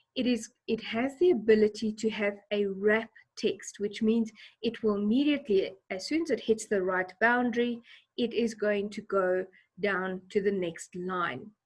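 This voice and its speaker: Somewhat breathy, a woman with a fairly high voice talks at a fairly slow pace with ordinary pitch variation. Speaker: teacher. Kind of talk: tutorial.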